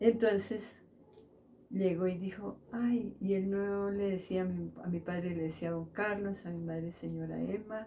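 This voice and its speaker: The woman's voice has a dark, mellow tone. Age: 80s+. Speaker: elderly local resident, seamstress. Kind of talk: interview, personal life story. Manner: halting, many fillers.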